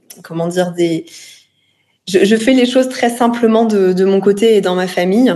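A woman's dark, mellow tone at a moderate pace, with ordinary pitch variation and long, frequent pauses. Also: medium pitch for a woman. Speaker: influencer and entrepreneur. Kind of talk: interview testimony. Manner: halting, many fillers and repetitions.

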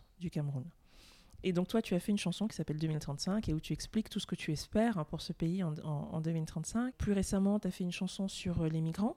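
A woman's somewhat breathy voice carries a dark, mellow tone and lively intonation. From France and Cameroon. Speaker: podcast host. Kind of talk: interview.

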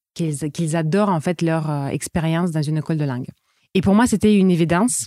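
A woman speaks at a moderate pace in a fairly low voice with a dark, mellow tone. The sound is dry and close, with no echo. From Russia, Saint Petersburg. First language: Russian (speaking French). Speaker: entrepreneur, eating-disorder coach. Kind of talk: interview. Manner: hesitant, many fillers.

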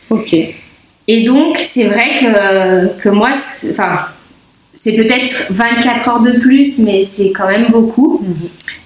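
Over noticeable background noise and audible room echo, a woman with a fairly high pitch talks at a very slow pace, using long, frequent pauses and ordinary pitch variation. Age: 30s. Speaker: mother with type 1 diabetes sharing her pregnancy story. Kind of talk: interview testimony. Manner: halting, many fillers.

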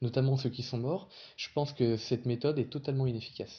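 This man talks with a medium pitch. His intonation shows ordinary variation. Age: 20s. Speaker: local politician and anti-bullying activist. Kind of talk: interview. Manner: halting.

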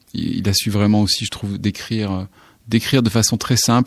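A man's fairly low voice moves fairly quickly, keeping a fairly even intonation. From southwestern France, near Saint-Émilion. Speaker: songwriter and singer. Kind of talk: radio interview. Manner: halting, many repetitions and fillers.

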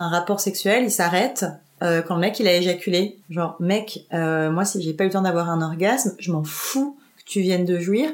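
At a moderate pace, a woman's speech shows ordinary pitch variation. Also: medium pitch for a woman. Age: 20s. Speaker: podcast guest sharing personal story. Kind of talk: personal testimony interview. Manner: casual with many hesitations.

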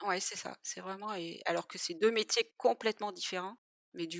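Recorded very cleanly against a silent background, a woman with an unremarkable speaking voice talks at a medium pitch with ordinary pitch variation, in a dry, close sound with no echo. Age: 40s. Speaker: web developer, former nurse. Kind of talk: interview testimony.

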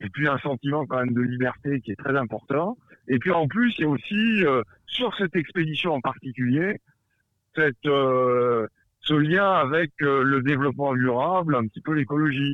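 Speaking at a moderate pace, a man has a fairly high pitch and ordinary pitch variation. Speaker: adventurer. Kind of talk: casual chat. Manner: halting.

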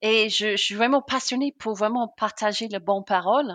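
A woman with a British accent is heard in a dry, close sound with no echo against a quiet background. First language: English (speaking French). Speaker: customer success consultant. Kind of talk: interview. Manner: enthusiastic.

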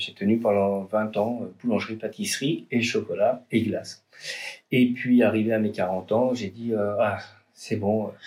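A man's medium-pitched, flat monotone at a fairly slow pace, broken by long, frequent pauses. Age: 40s. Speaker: artisan chocolatier and roaster. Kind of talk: interview. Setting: in his shop workshop. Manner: hesitant with fillers and repetitions.

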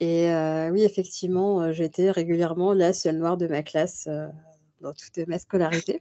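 A woman's fairly low-pitched voice in a flat monotone. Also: moderate pace. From Paris region, France. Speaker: book club host and association member. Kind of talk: interview. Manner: halting.

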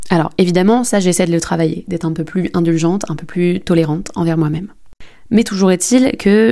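Her words come at a fairly quick rate. The woman's pitch is medium and varies in an ordinary way. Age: 20s. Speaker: podcast host and entrepreneur. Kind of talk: personal testimony. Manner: hesitant, many fillers.

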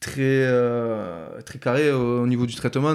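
A man is talking. His voice has a medium pitch. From Tarbes, Hautes-Pyrénées (Bigorre), southwest France. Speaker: former professional rugby player. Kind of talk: casual interview. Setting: in person, in Tarbes. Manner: halting, many fillers and repetitions.

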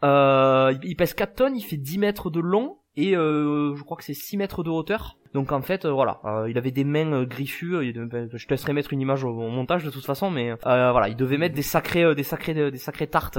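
At a moderate pace and with hardly any pauses, a man speaks in a fairly high pitch with ordinary pitch variation. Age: 20s. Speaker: dinosaur theme park guide. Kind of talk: casual chat. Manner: halting, many repetitions.

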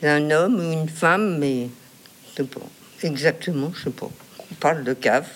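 Her pitch very deep and low, a woman speaks with big swings in loudness and long, frequent pauses. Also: ordinary pitch variation, moderate pace. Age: 80s+. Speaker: retired chief accountant. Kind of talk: interview.

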